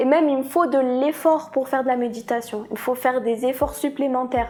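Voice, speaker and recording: Speech comes at a fairly quick pace with fairly even intonation over noticeable background noise. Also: woman, high pitch for a woman. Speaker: vlogger. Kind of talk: personal confession vlog. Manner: hesitant, repeats words.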